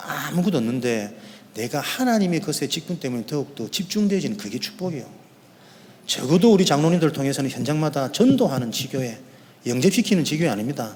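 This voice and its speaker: Fairly high male voice moving at a fairly quick clip, its pitch swinging very widely. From Korea, Yeongdo (Busan). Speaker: pastor. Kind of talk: sermon. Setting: church. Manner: fast.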